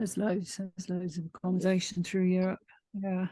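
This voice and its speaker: A woman's somewhat breathy voice at a fairly slow pace, medium in pitch, monotone and flat, with a dark, mellow tone and a dry, close sound with no echo. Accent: British. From UK. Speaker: book club member. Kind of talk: casual chat.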